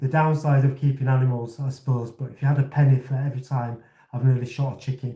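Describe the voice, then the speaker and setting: A man with a Yorkshire accent talks at a fairly quick pace in a fairly high pitch. His tone is dark and mellow, somewhat breathy, with monotone, flat intonation. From Leeds, northern England. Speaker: RC hobby livestreamer. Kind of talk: casual chat. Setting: livestream.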